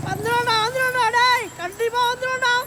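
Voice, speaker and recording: The speech moves rather unhurriedly. It is done in a put-on character voice. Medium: short film. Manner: teasing, jovial.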